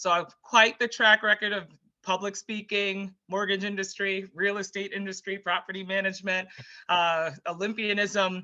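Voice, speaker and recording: Over a quiet background, a woman talks at a moderate pace with a medium pitch. Her tone is bright and sharp, and her intonation is monotone and flat. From Jamaica. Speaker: former Olympic athlete and public speaker. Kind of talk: interview.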